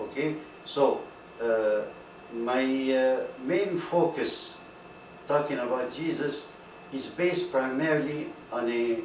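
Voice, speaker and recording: Amid noticeable background noise and audible room echo, a man speaks very slowly with long, frequent pauses, at a fairly high pitch with ordinary variation. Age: 60s. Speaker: retired auto industry worker giving religious talk. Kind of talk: informal lecture. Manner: halting, many fillers.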